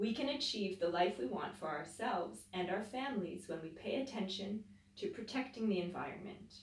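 The text is read out plainly. That is the whole delivery.

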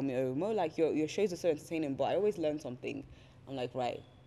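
A woman's voice sits very deep and low, with a dark, mellow tone. Her pitch varies in an ordinary way. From southern England, West Sussex; England. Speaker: YouTuber and presenter; YouTuber, presenter. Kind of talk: casual chat. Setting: studio. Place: office. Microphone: handheld.

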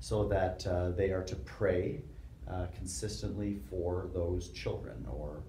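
With a Canadian accent, a man talks in a very deep, low pitch. Light background noise and audible room echo are present. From Canada, Toronto area; Ontario, Canada. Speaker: theology professor. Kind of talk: interview. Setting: recording room. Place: studio.

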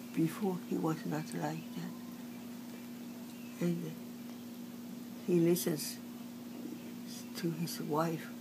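A woman with long, frequent pauses, over noticeable background noise. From China. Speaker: artist. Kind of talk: oral history interview answer. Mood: upset, aggrieved. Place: home room. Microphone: phone near.

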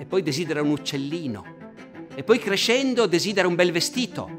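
A male voice over clear music in the background. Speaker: presenter. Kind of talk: lecture. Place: hall.

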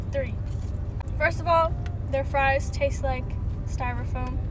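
A woman's voice, dry with no echo, against noticeable background noise. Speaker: social media creator. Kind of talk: casual vlog chat, food review. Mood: casual, mildly critical. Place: car. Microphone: phone near.

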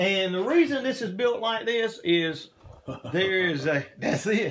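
A man talks at a fairly slow pace with a high pitch. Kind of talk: interview answer. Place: workshop. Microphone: phone near.

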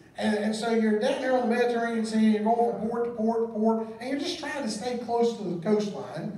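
A man with an American accent speaks at a fairly quick pace in an extremely high voice, with fairly even intonation and hardly any pauses, amid light background noise and audible room echo. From US South. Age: 40s. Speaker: pastor. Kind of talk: sermon. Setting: church. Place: church.

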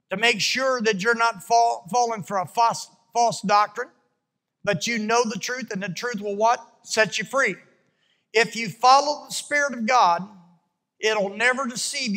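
A man's raised, projected voice with a bright, sharp tone, ordinary pitch variation and a moderate pace against a quiet background. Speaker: preacher. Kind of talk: sermon. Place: church. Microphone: handheld.

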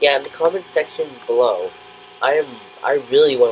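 A man speaks over noticeable background noise. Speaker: gaming youtuber. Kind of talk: let's play commentary. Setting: home recording without headphones. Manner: halting, many fillers.

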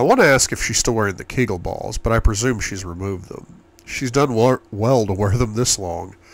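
Ordinary pitch variation in a passage of reading aloud in a natural voice

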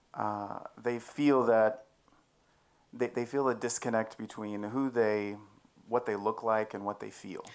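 Long pauses break up a man's speech again and again at a very slow pace. His medium-pitched voice stays monotone and flat. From Texas. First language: English (speaking Czech). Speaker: church member giving testimony; speaker. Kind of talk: testimony. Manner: halting. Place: tent. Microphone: handheld.

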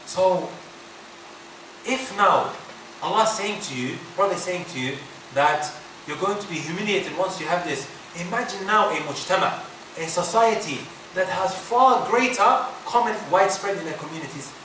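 A man's raised, projected, high-pitched voice at a moderate pace, with long, frequent pauses, audible room echo and light background noise. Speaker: Islamic teacher. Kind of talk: religious lecture. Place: hall. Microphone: podium.

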